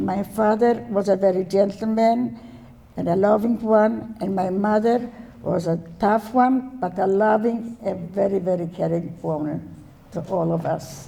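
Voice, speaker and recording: The voice has a dark, mellow tone with vocal fry and ordinary pitch variation. It moves at a fairly slow pace, and the room echo is audible. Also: woman, medium pitch for a woman. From Poland, Warsaw. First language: Yiddish. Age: 90s. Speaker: Holocaust survivor. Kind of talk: testimony. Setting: stage with audience. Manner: halting.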